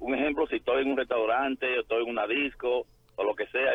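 The speaker's intonation is monotone and flat. The pace is fairly quick. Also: man. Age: 40s. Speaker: radio caller. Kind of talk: call-in question. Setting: phone call. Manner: halting.

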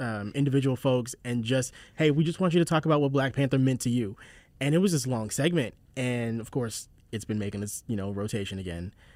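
An ordinary speaking voice with an American accent moves at a fairly quick pace with lively intonation. The recording is very clean, with a silent background. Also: man, medium pitch for a man. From South Carolina, Charleston. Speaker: podcast host, writer and voice actor. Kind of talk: casual chat.

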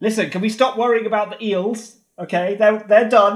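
High-pitched man at a moderate pace with fairly even intonation, on a very clean recording with a silent background. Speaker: roleplay game player. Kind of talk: casual tabletop roleplay.

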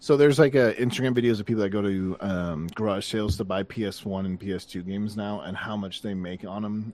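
At a moderate pace, a man with a plain, everyday voice speaks with a fairly low pitch and ordinary pitch variation. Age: 30s. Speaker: gaming podcast co-host. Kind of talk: casual chat.

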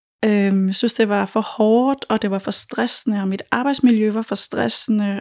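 In a plain, everyday voice, a woman with a fairly high pitch speaks at a fairly slow pace with fairly even intonation. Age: 40s. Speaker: food blogger and cookbook author. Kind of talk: interview.

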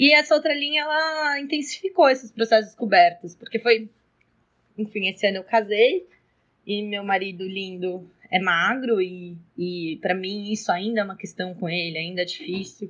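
A woman with a plain, everyday voice talks at a moderate pace, her medium pitch moving in a lively intonation. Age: 20s. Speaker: schoolteacher. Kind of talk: personal testimony.

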